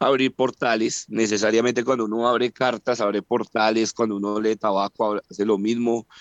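Against a quiet background, a man of medium pitch talks at a moderate pace with hardly any pauses, very even loudness and flat, monotone intonation. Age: 40s. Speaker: parapsychologist. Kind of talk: interview. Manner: halting.

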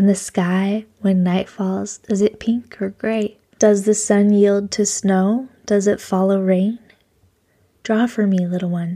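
A woman speaks very slowly at a medium pitch, her tone dark and mellow and her intonation flat and monotone. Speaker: podcast host. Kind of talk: reading aloud.

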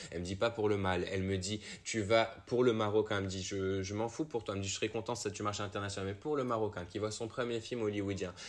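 A man talks at a very fast pace. His pitch is fairly low. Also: fairly even intonation. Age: young. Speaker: actor. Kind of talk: casual interview.

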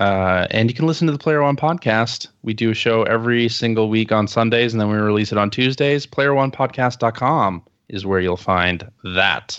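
A man with a plain, everyday voice talks at a moderate pace, with ordinary pitch variation and hardly any pauses. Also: medium pitch for a man. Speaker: fellow podcaster guest. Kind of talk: casual chat.

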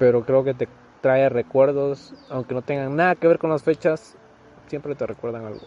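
A man's fairly high-pitched voice at a moderate pace, with noticeable background noise. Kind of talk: casual chat.

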